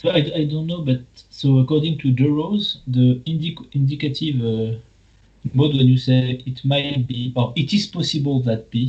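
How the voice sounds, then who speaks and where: A man with a French accent speaks at a moderate pace with ordinary pitch variation. His voice is fairly high and somewhat breathy. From France. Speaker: philosopher. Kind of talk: academic discussion.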